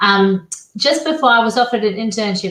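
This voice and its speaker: In an Australian accent, a woman speaks at a fairly quick pace. Her pitch swings very widely. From Australia, Perth. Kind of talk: interview.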